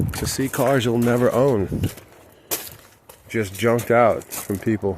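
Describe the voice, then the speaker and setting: Amid noticeable background noise, a man with a Southern US accent speaks at a medium pitch with ordinary pitch variation. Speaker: DIY auto channel host. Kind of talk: casual vlog walkthrough. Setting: outdoors at a junkyard.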